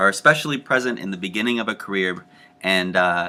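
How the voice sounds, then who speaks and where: Lively intonation goes with a bright, sharp tone in this voice. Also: man. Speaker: teacher education professor. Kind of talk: lecture. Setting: home recording. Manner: fast.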